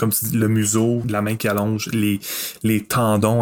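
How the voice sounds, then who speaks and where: A man speaks in a fairly low pitch at a fairly slow pace. His intonation is flat and monotone. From Quebec, Masson-Angers near Gatineau. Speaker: guest horror film fan. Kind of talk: casual chat.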